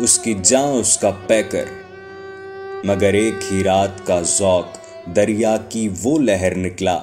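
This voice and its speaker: With music playing in the background, a man speaks at a fairly low pitch and with fairly even intonation. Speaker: poetry reciter. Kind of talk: poetry reading.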